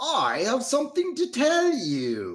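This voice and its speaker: Putting on a character voice, a man speaks wheezily at a fairly slow pace with an extremely high pitch. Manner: frail, halting.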